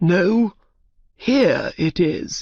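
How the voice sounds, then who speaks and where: This is a put-on character voice that sounds female. It is raspy and sits at a middle pitch. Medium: read story. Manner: angry.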